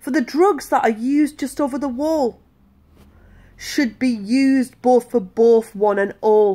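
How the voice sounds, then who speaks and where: A woman's sing-song, playful voice, high in pitch yet dark and mellow in tone, at a fairly slow pace with ordinary pitch variation. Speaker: patient advocate. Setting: video blog to camera. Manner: rhythmic, sing-song delivery of rhymes with playful emphasis; earnest, sincere and hopeful when speaking about the campaign. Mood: earnest, indignant. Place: home room. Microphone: phone near.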